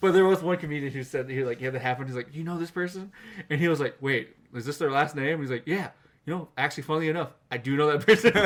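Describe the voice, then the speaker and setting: A man with fairly high pitch talks at a very fast pace in an animated tone. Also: ordinary pitch variation. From Scotland. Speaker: podcast co-host. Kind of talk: casual chat.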